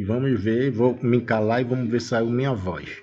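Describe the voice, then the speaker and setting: A man talks at a moderate pace with a fairly low pitch. Noticeable background noise runs underneath. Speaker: tech tutorial youtuber. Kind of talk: tutorial. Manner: casual.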